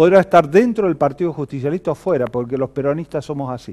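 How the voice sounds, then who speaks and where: Against a quiet background, a man talks fairly quickly in a fairly high voice with a dark, mellow tone. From Argentina. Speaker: political commentator. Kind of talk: political monologue to camera. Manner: animated. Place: studio. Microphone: lapel.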